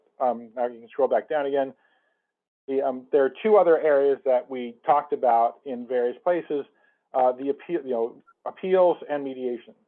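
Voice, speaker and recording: Here a man with an American accent talks at a fairly quick pace. His voice sits fairly high, with ordinary pitch variation. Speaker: commission member chairing a subcommittee. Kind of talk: public meeting discussion. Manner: fast.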